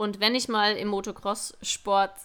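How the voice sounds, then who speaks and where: On a very clean recording with a silent background, she speaks in a bright, sharp tone. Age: 20s. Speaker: podcast host, motocross racer and police officer. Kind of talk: interview answers. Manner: casual, chatty.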